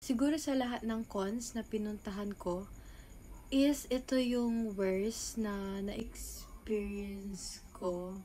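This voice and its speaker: A woman talks at a very slow pace with a fairly high pitch and ordinary pitch variation. Her tone is dark and mellow, and somewhat breathy. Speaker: cosplayer and vlogger. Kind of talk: casual vlog rant. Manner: halting.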